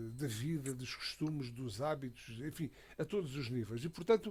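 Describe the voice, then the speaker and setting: A somewhat breathy man is speaking. His pitch is medium and varies in an ordinary way. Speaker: radio commentator. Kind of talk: radio panel discussion. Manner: halting, many fillers and repetitions.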